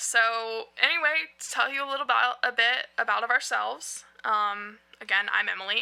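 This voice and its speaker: Loud and animated, a woman speaks at a moderate pace with a fairly high pitch, a bright, sharp tone and ordinary pitch variation. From US South, North Carolina. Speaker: podcast co-host. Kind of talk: casual chat. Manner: talkative, animated.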